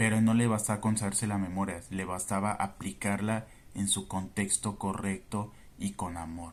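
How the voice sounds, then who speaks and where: Monotone, flat intonation from a man at a fairly low pitch. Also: moderate pace. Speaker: Bible teacher. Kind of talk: Bible study commentary.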